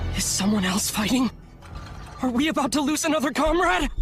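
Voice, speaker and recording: A put-on character voice with a high pitch plays over clear music in the background. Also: fairly quick pace. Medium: short film.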